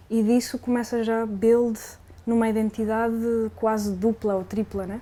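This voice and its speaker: A woman speaks with a fairly high pitch and a dark, mellow tone. Her intonation is monotone and flat. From Spain, Barcelona (Zona Franca). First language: Spanish (speaking Portuguese). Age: young. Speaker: musician. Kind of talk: interview.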